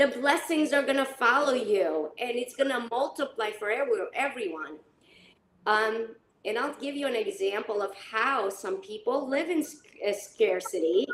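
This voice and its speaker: A woman with a high pitch talks at a moderate pace. Her pitch swings very widely. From North Macedonia. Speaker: leadership consultant. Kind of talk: panel discussion. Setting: live stream.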